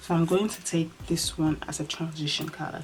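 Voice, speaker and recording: Noticeable background noise is present. Over it, a woman speaks with a very deep, low pitch. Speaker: beauty vlogger. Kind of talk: makeup tutorial. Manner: quiet, slow.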